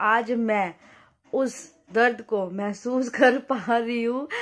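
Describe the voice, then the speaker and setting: Very slowly, a woman speaks with fairly even intonation. Her voice is fairly high-pitched. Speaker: vlogger. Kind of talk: casual vlog chat. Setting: at home, lying down. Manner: drowsy.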